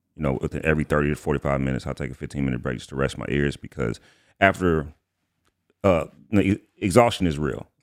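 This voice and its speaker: A man speaks at a very fast pace with vocal fry. His pitch is very deep and low, with ordinary variation, and the sound is dry and close with no echo. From Atlanta, Georgia. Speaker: rapper and studio engineer. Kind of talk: casual interview.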